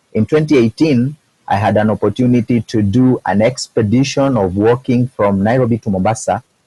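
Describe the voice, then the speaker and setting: In a dark, mellow tone, a somewhat breathy man talks at a medium pitch and fairly quick pace with ordinary pitch variation, the sound dry and close with no echo. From Kenya. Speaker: epilepsy activist. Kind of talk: webinar presentation. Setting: video call.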